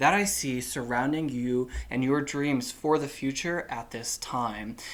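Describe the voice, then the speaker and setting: Soft-spoken and medium in pitch, a man talks with lively intonation. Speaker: tarot reader. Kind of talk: tarot reading. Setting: indoors, warm room.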